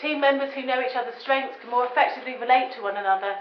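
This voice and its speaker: Lively intonation in a southern English accent, over noticeable background noise and audible room echo. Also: woman. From England. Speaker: business consultant and lecturer. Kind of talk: public lecture.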